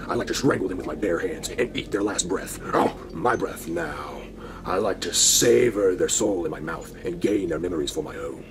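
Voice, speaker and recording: Using a put-on character voice, a man speaks at a moderate pace with a very deep, low pitch. Clear background noise can be heard. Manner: menacing.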